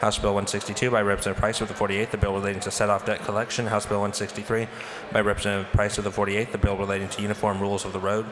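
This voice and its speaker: A man speaks very fast in a fairly low, flat monotone over noticeable background noise. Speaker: legislative clerk. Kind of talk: formal reading aloud. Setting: legislative chamber. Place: hall.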